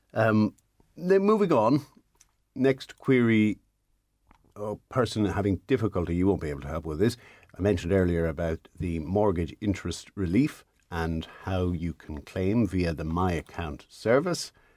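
In a very clean recording with a silent background and a dry, close sound free of echo, a man with a very deep, low voice talks at a moderate pace with lively intonation. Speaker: radio host. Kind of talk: casual radio banter, reading listener mail. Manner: dry, teasing.

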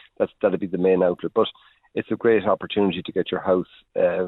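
A man speaks with an Irish accent. His pitch is very deep and low. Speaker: agricultural energy adviser. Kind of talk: radio interview. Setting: phone call.

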